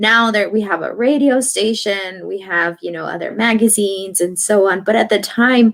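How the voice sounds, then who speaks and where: Moderately paced speech with hardly any pauses from a woman in a Spanish accent, medium in pitch with ordinary pitch variation. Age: 30s. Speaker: radio journalist. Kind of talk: interview. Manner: hesitant, many fillers.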